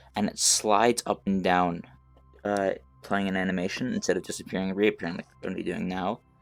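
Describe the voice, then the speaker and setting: A man's very fast speech at a fairly low pitch, flat and monotone, with music in the background. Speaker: game dev tutorial youtuber. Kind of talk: tutorial. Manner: halting, frequent fillers.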